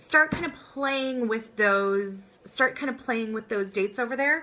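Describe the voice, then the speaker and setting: A woman speaks in a raised, projected voice. She keeps a moderate pace. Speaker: business coach. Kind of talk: live-streamed online class. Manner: energetic, upbeat.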